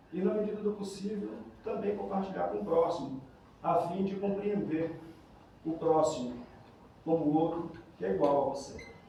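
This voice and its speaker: With audible room echo and noticeable background noise, a man speaks high and lively at a moderate pace, leaving long, frequent pauses. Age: 50s. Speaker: patient sharing experience. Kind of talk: testimony.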